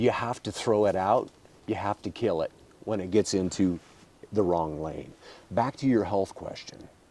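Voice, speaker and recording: A man with a dark, mellow tone speaks at a fairly low pitch and a moderate pace. His pitch varies normally, broken by long, frequent pauses. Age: 60s. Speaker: state politician. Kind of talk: podcast interview. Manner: animated.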